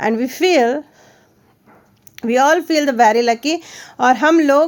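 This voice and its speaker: A woman's high voice comes through loud, its pitch moving in an ordinary way. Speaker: teacher. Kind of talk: lesson explaining a textbook chapter.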